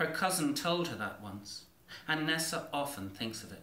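A man with an Irish accent, a fairly high pitch and a bright, sharp tone, at a moderate pace with lively intonation and strong room echo

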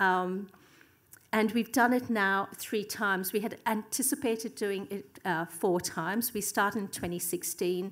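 Pitch variation is ordinary as a woman talks in an Australian accent. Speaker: academic. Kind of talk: conference presentation. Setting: stage with audience. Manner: fast talker. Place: hall. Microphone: podium.

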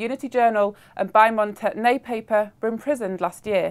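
A woman speaks in a normal speaking voice, fairly high in pitch with ordinary pitch variation, on a very clean recording with a silent background. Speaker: news presenter. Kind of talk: formal newsreading, scripted bulletin delivery. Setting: studio. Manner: formal, crisp and measured, even pace.

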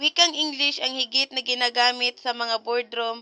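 A woman is speaking. Her voice sits at a high pitch. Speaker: educational video narrator. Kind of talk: reading aloud lesson notes. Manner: halting.

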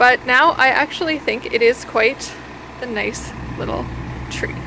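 Amid noticeable background noise, a woman talks at a high pitch and a fairly slow pace with ordinary pitch variation. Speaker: home decor vlogger. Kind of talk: casual vlog chat. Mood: relaxed, mildly amused. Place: street. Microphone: phone near.

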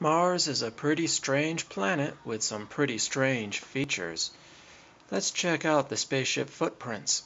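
Here a man has a normal speaking voice, fairly high in pitch. His intonation is lively and his pace fairly slow. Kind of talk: documentary narration over screen recording.

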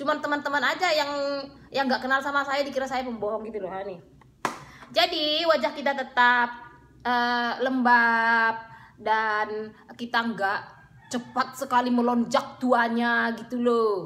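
Her voice high-pitched, a woman talks at a fairly slow pace. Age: 30s. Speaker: beauty vlogger. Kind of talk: casual vlog monologue. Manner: animated. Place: home room. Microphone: phone near.

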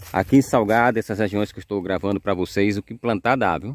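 A man talks at a fairly quick pace in a dry recording with no echo. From Sergipe, Brazil. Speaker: YouTuber showing property for sale. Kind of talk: property tour vlog. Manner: animated. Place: open country. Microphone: phone near.

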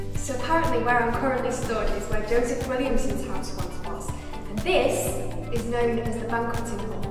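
Amid clear music in the background and strong room echo, a woman talks at a moderate pace. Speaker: vlogger. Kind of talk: casual vlog chat. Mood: excited, slightly nervous. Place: tunnel cave.

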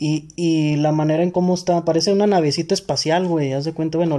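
The speaker has a Mexican accent, a dark, mellow tone and a moderate pace. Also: man. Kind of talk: casual chat.

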